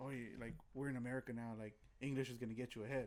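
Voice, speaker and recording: At a very fast pace, a man speaks with a medium pitch and fairly even intonation. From US (grew up in the projects). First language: Spanish. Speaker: guest co-host. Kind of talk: casual chat. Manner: halting, many fillers and repeated words.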